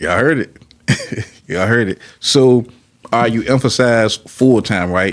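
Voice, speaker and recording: A man in an American accent, medium in pitch and fairly slow, with ordinary pitch variation and long, frequent pauses. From Petersburg, Virginia. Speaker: podcast host. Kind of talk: casual interview.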